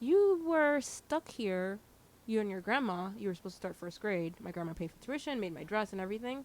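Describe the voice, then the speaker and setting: A woman speaks at a medium pitch. Her pitch swings very widely. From New Jersey, Hudson County (early childhood in Haiti). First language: Haitian Creole. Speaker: DJ and radio host. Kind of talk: casual chat. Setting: video interview.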